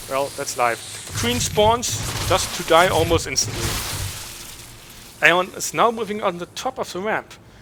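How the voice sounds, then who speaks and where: Over music in the background, a man with a German accent talks in a high pitch with lively intonation. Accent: German accent speaking English. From Germany. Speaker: esports caster. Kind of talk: esports play-by-play commentary.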